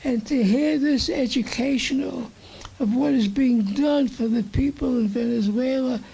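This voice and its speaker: A New York accent at a fairly slow pace, with noticeable background noise. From Brooklyn, New York. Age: 80s+. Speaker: audience member. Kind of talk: audience comment.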